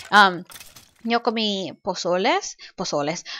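A woman with an English accent, very slow pace and lively intonation, against a quiet background. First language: English (speaking Spanish). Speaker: gaming YouTuber. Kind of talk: let's play commentary. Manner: halting.

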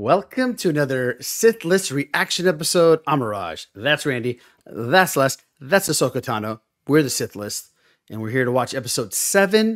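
A quiet background holds speech delivered at a moderate pace. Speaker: podcast host. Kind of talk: casual podcast chat. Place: home room. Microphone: studio mic.

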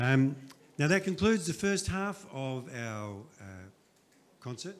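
A man speaks with very wide pitch swings over light background noise. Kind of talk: announcement to audience. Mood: light, joking. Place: church.

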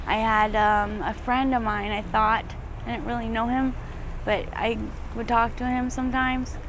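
A woman with an American accent, fairly high in pitch, at a moderate pace, with noticeable background noise. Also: dry sound with no echo. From Arizona. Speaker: homeless former drug addict. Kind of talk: street interview. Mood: emotional, near tears. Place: street.

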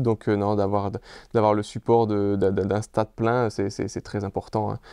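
Flat, monotone delivery from a man at a fairly low pitch, dry with no echo, over a quiet background. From France. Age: 30s. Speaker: professional footballer. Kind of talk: interview. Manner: halting, many fillers and repeats. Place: home room. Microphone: lapel.

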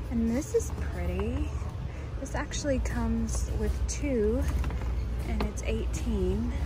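Loud background noise sits behind a woman speaking at a very slow pace. Her pitch varies in an ordinary way, and the sound is dry with no echo. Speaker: vlogger. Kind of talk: casual vlog chat. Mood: cheerful, admiring. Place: shop. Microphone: phone near.

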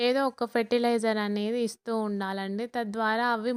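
Fairly high-pitched woman's voice in a monotone, flat intonation, dry and close with no echo, on a very clean recording with a silent background. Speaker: gardening vlogger. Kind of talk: video tour and tips. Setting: outdoors on terrace garden.

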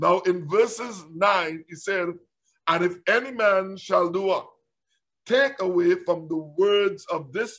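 Very slowly, a man speaks in a high voice with ordinary pitch variation. The background is quiet. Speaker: preacher. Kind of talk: sermon, Bible teaching. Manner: repetitive, halting, fervent. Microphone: webcam.

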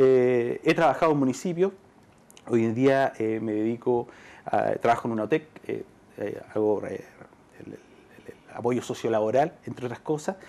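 A man's dark, mellow voice at a moderate pace, with ordinary pitch variation and long, frequent pauses. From Chile. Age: 30s. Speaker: local politician. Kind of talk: TV interview. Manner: halting, with frequent fillers. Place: studio.

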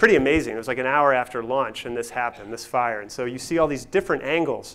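A man talks at a fast pace. His tone is fairly bright. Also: medium pitch for a man, ordinary pitch variation.

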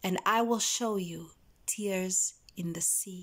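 A woman talks in an animated, warm tone against a quiet background. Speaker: poetry vlogger. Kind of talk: poetry reading, spoken-word delivery of love poems after a chatty intro. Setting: video. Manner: animated, warm, gushing and expressive in the chatty parts; slower, tender and intimate with pauses when reading the poems. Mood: earnest, emotional. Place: home room. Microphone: phone near.

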